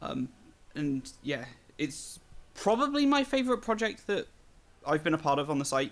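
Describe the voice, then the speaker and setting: The speaker talks at a moderate pace with a British accent, leaving long, frequent pauses. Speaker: podcast host. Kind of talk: casual chat.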